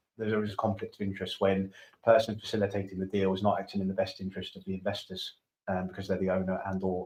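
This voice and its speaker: Speaking at a very fast pace, a man with a very deep, low voice keeps a monotone, flat intonation. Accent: British. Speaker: domain investor. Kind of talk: casual chat. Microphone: too quiet, far from the mic.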